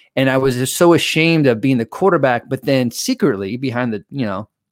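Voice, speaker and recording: A man with an unremarkable speaking voice and ordinary pitch variation is heard in a dry, close sound with no echo. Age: 40s. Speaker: mental performance coach. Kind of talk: casual interview. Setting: video call.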